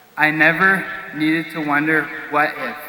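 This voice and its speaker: A man with a fairly high pitch and ordinary pitch variation is heard amid noticeable background noise and audible room echo. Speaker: graduating student speaker. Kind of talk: commencement speech. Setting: stage with audience. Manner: formal.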